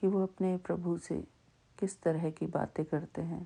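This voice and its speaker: This woman's voice has a dark, mellow tone, a fairly low pitch and fairly even intonation. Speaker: devotional satsang speaker. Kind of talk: devotional talk. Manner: slow; deliberate.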